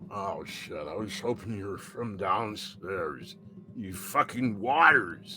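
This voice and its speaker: Using a put-on character voice, a man speaks at a fairly low pitch and a fairly slow pace. Clear background noise runs behind him. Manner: groggy, gruff, annoyed.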